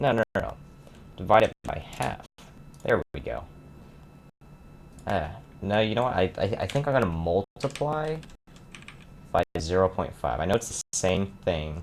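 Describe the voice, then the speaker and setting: A man speaks at a fairly slow pace, leaving long, frequent pauses. His pitch swings very widely, and the sound is dry and close with no echo. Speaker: hobbyist game developer. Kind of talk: casual screen-recorded dev vlog. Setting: home recording with audio glitches.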